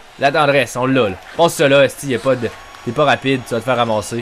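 A man is speaking. Background noise is noticeable throughout. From Quebec. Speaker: gaming YouTuber. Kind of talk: live sports-style game commentary while playing NHL video game. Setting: home recording, gameplay video voiceover. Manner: excitable, shouting, loud, swearing; animated, reacts loudly to every play.

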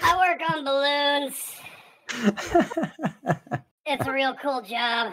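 In a put-on character voice, high-pitched and squeaky, the speaker talks at a very slow pace with long, frequent pauses.

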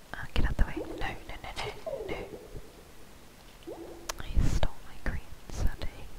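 At a moderate pace, someone whispers, breaking the speech with long, frequent pauses. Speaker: game player. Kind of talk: ASMR gameplay commentary. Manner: whispered.

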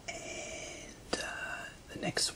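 Someone soft-spoken is whispering over noticeable background noise. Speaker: teacher of slang words. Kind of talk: tutorial. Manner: soft whispered musing. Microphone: phone near.

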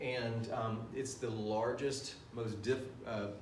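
A man speaks very slowly in a monotone, flat voice. Room echo is audible, along with light background noise. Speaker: teacher. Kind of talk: lecture. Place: classroom. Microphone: camera far.

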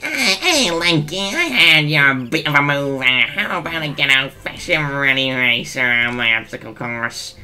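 A put-on character voice sits at a low-to-middle pitch and moves at a moderate pace. Clear music plays in the background. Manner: cocky, teasing.

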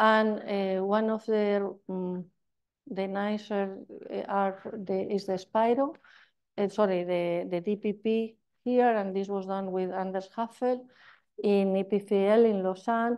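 Speaking with a Spanish accent, a woman delivers her words at a very slow pace in a monotone, flat intonation. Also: medium pitch for a woman. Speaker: chemistry professor. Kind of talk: lecture. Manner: halting.

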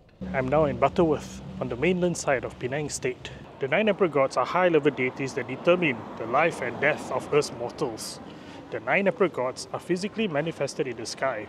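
A man talks at a fairly quick pace in a dry sound with no echo, with noticeable background noise. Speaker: travel vlogger. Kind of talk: casual vlog explanation. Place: street. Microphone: phone near.

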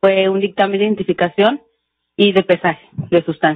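A woman talks at a fairly quick pace with fairly even intonation. The background is quiet and the sound is dry with no echo. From Mexico. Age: 20s. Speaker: forensic chemist, expert witness; witness. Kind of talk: court testimony. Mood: formal, calm. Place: hall. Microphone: podium.

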